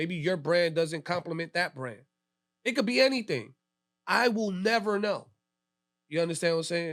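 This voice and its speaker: A man talks loudly at a high pitch with an American accent. His pitch varies in an ordinary way. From New York City, Lower East Side. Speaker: DJ. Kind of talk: casual interview chat. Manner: talkative.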